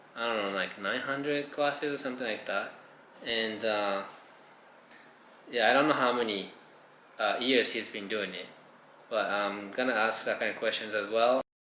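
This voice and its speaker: A man with a Japanese accent at a medium pitch, ordinary pitch variation, moderate pace and long, frequent pauses, with audible room echo. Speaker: vlogger and fashion designer. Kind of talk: casual vlog chat.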